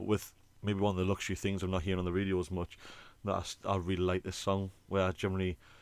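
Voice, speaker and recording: Speaking with a British accent, a man has a very deep, low pitch. He talks at a very fast pace. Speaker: podcast co-host, band singer. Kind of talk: casual chat. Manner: animated.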